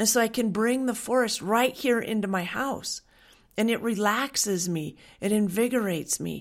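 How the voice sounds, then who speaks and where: Recorded very cleanly over a silent background, a woman with a plain, everyday voice speaks at a moderate pace, fairly high in pitch, with ordinary pitch variation. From Western Washington, US. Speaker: essential oils wellness coach. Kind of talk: monologue with sales pitch. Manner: warm, earnest.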